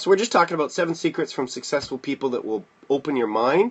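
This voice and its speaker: Very wide pitch swings in a man's fairly high-pitched voice. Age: 40s. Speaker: motivational livestreamer and kickboxing instructor. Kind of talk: casual livestream talk. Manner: fast.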